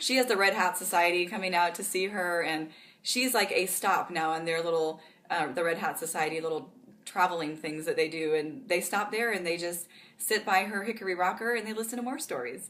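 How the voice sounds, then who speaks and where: Woman at a medium pitch with ordinary pitch variation, fairly quick pace and audible room echo. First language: Pennsylvania Dutch. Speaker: author. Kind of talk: interview. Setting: conference.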